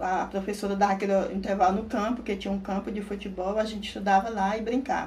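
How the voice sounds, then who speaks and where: A woman speaks very fast in a monotone, flat way with hardly any pauses. Room echo is audible, and background noise is noticeable. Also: medium pitch for a woman. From rural Maranhão, Brazil. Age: 50s. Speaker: interviewee. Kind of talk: interview testimony.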